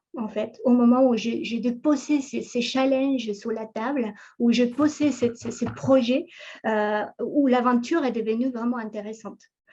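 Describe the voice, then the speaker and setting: At a fairly slow pace, a woman with a high pitch and dark, mellow tone speaks in fairly even intonation. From Ecuador. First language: Spanish (speaking French). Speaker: entrepreneur, conference speaker. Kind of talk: talk on professional background. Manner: halting, many fillers and repetitions.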